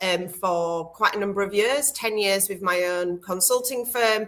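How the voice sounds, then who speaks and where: Fairly slow and medium in pitch, a woman's voice has a bright, sharp tone and ordinary pitch variation. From Yorkshire, England (Scarborough). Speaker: kindness consultant and speaker. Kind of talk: interview. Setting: online livestream.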